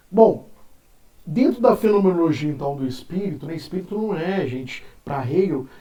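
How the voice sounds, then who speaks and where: Breathy to some degree, a man's dark, mellow voice shows ordinary pitch variation amid audible room echo. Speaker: philosophy teacher. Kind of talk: lecture. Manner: casual.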